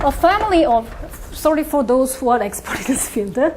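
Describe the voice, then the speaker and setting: Woman with a Korean accent and very wide pitch swings at a moderate pace, amid noticeable background noise and audible room echo. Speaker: mathematics professor. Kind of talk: lecture. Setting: conference talk with audience. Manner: halting, with many fillers.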